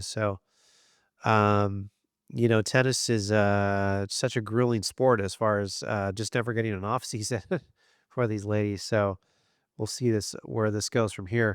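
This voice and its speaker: Here a man speaks at a fairly low pitch and a moderate pace, in a monotone, flat intonation. The recording is very clean and dry, close with no echo and a silent background. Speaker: tennis commentator. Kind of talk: casual vlog commentary. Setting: standing, talking to camera. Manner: halting, many fillers.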